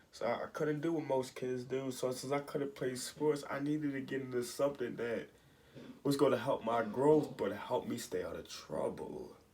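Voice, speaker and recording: In a plain, everyday voice, a man talks at a moderate pace with fairly high pitch and fairly even intonation. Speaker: vlogger and minister. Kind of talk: personal testimony.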